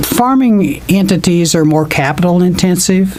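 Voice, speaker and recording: The speaker has an American accent and a moderate pace. Audible room echo and noticeable background noise fill the recording. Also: man. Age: 60s. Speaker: financial adviser. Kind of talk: interview. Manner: halting.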